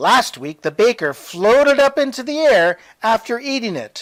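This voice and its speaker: In a put-on character voice, the speaker uses a raised, projected delivery at a fairly high pitch and a moderate pace. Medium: read story.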